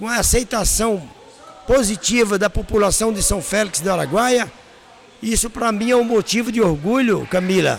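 A man with a high pitch speaks at a fairly slow pace over noticeable background noise. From Brazil, Paraíba (Northeast). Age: 50s. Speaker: restaurant and hotel owner. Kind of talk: interview. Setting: at the guest's restaurant.

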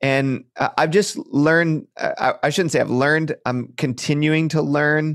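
In a plain, everyday voice, a man talks at a moderate pace with fairly even intonation on a very clean recording with a silent background. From Michigan, near Detroit. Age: 30s. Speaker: pastor. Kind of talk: interview.

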